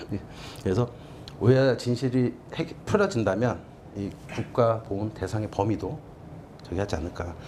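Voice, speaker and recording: A man in a Seoul accent speaks at a moderate pace with long, frequent pauses, a dark, mellow, somewhat breathy tone and ordinary pitch variation. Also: medium pitch for a man. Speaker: documentary filmmaker. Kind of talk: lecture.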